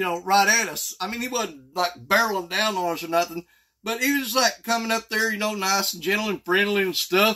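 At a moderate pace, a man projects a raised voice with a bright, sharp tone and ordinary pitch variation over a quiet background. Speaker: fishing vlogger. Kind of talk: casual vlog chat. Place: home room. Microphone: phone near.

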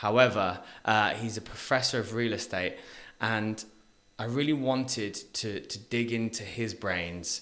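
Bright and sharp in tone, a man speaks with a British accent and fairly even intonation. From UK. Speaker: podcast host. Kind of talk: casual interview chat. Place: studio. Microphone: studio mic.

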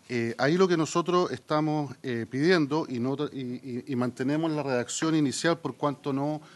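His pitch shows ordinary variation as the man talks. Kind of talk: formal committee presentation. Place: meeting room. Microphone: podium.

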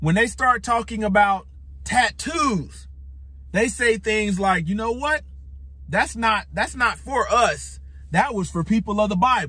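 Heard in a dry sound with no echo, a man talks at a fairly slow pace. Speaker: religious teacher. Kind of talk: sermon. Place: car. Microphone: phone near.

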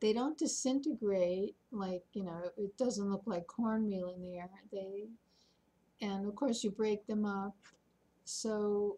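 A woman speaks at a fairly slow pace. Her tone is dark and mellow, and somewhat breathy. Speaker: senior vlogger. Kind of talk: casual vlog chat. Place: home room. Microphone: webcam.

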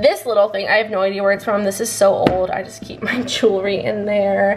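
Music plays in the background as a woman talks. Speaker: vlogger giving room tour. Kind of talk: casual vlog chat. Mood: cheerful, enthusiastic. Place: home room.

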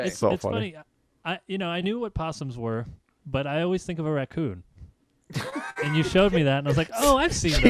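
With a New York accent, a man speaks at a fairly quick pace and a fairly high pitch, using lively intonation and long, frequent pauses in a dry sound with no echo. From New York native. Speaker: comedian. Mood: amused, laughing. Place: home room. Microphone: video call.

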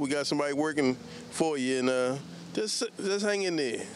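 The speech comes at a fairly quick pace with ordinary pitch variation, the sound dry with no echo and light background noise behind it. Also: man. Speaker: dealership customer. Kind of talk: customer testimonial. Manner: friendly, somewhat halting. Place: street. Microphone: handheld.

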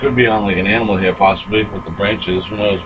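The speaker shows ordinary pitch variation against noticeable background noise. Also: man. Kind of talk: commentary. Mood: excited, insistent. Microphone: phone near.

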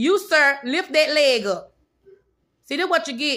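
Against a quiet background, a woman projects a raised voice with a bright, sharp tone and ordinary pitch variation. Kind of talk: scolding, casual home video. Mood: stern, exasperated scolding. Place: home room. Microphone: phone near.

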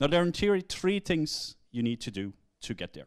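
Against a quiet background, a man talks at a moderate speed. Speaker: conference speaker. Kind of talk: lecture. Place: hall.

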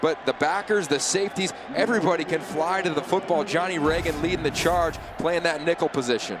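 A man's high-pitched voice at very even loudness, over noticeable background noise. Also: ordinary pitch variation. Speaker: color commentator. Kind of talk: live commentary. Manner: excitable.

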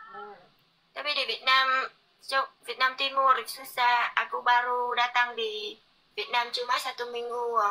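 A woman with a non-native accent speaks fairly slowly in a high pitch. Her intonation is monotone and flat, though her loudness swings a lot. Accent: non-fluent Indonesian. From Korea. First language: Korean (speaking Indonesian). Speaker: livestreamer. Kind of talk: casual chat. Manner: halting. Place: home room. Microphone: phone near.

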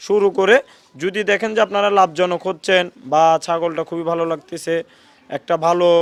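High pitch and fairly even intonation from a man. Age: 20s. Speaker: goat farmer and trader. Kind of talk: interview answers.

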